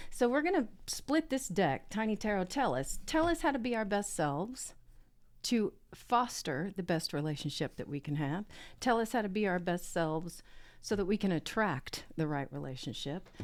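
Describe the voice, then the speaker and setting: Speaking at a moderate pace, a woman with a Southern US accent makes very wide pitch swings. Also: very clean recording, silent background. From US South. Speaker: tarot reader. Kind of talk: casual podcast chat. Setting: podcast recording. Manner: animated.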